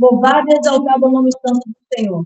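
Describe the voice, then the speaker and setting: A woman with a Brazilian accent talks in a high-pitched voice. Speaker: preacher. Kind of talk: sermon.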